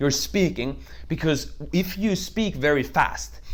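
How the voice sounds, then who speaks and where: A high-pitched man with ordinary pitch variation. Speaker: network marketing trainer. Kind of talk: tutorial. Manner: fast.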